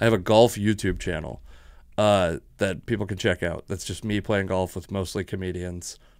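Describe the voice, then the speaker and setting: There's a quiet background as a man speaks with an American accent. His very deep, low pitch has fairly even intonation. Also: moderate pace, dry sound with no echo. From Washington state, US. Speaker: comedian and podcast host; comedian, podcast host. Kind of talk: casual chat. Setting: home studio. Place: studio. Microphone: studio mic.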